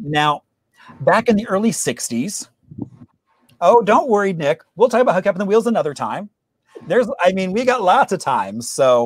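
An enthusiastic, upbeat man's voice, high in pitch with very wide pitch swings, a fairly slow pace and long, frequent pauses, in dry sound with no echo. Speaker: host of a history trivia show; local historian. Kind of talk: presentation talk to an online audience. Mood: enthusiastic, friendly.

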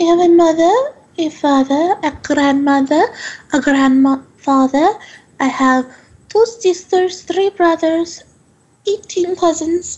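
A put-on character voice, female-sounding and extremely high in pitch, with long, frequent pauses. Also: fairly slow pace. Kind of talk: in-character interview. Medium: actual play. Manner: earnest, calm, slightly formal and defensive.

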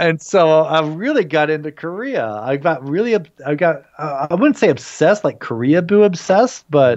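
An American-accented man speaks at a moderate pace with lively intonation and hardly any pauses. The background is quiet. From United States. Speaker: Korean food promoter and food blogger; food blogger. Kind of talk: casual interview chat. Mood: relaxed, cheerful. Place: home room. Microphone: video call.

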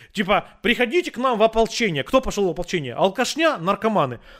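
A man talking at a fairly quick pace with very wide pitch swings. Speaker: video chat roulette host. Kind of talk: casual chat. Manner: calm.

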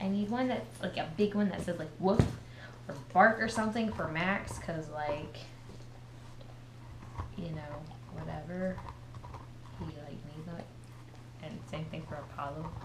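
Over noticeable background noise, a woman speaks at a moderate pace with long, frequent pauses. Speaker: pet vlogger. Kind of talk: casual vlog chat. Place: home room. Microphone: camera far.

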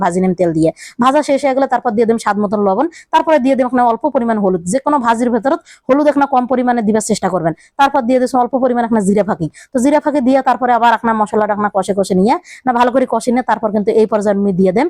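A woman speaks at a fairly high pitch with ordinary pitch variation and very even loudness, recorded very cleanly against a silent background in a dry, close sound with no echo. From Rangpur, northern Bangladesh. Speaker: cooking vlogger. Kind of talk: cooking tutorial. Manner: casual, chatty.

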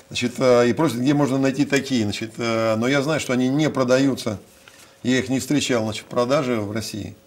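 A man's medium-pitched voice at a moderate pace, with fairly even intonation. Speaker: city mayor. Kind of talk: interview. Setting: studio. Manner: halting. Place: studio.

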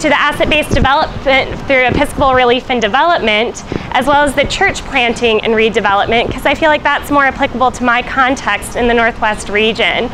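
Over music in the background, a woman talks very fast in a high voice with hardly any pauses and ordinary pitch variation. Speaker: church missionary reporting. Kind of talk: casual report to camera. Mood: cheerful, smiling. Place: street. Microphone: lapel.

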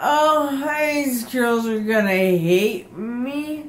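Mumbling at a very slow pace, a woman speaks in a high pitch with lively intonation over light background noise. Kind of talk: drowsy casual talk. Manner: slurred, groggy post-anesthesia mumble. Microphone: phone near.

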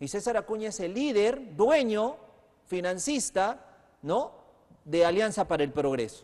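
Speaking at a moderate pace, a man with a high voice uses lively intonation against a quiet background. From Peru. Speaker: TV news host. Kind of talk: political interview. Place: studio. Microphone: lapel.

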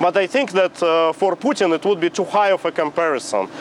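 Against light background noise, a man with a Russian accent speaks at a high pitch, the sound dry with no echo. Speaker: exiled opposition politician. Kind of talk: TV interview. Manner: halting, with fillers. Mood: calm, serious. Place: street. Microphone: lapel.

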